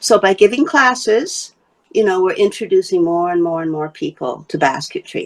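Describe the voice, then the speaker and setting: A woman speaks at a medium pitch and a fairly slow pace. Her voice swings very widely in pitch. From Wales. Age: 70s. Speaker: basket maker and teacher. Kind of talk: interview.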